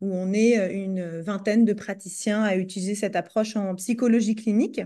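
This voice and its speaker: A woman speaks in a dark, mellow tone at a moderate pace. The background is quiet. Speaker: psychologist and researcher. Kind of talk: research presentation. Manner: hesitant, many fillers.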